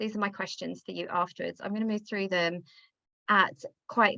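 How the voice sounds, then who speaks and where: A woman speaks at a medium pitch with a bright, sharp tone. Her pace is fairly quick and her pitch varies in an ordinary way. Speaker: business coach. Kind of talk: online workshop presentation. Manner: fast; animated.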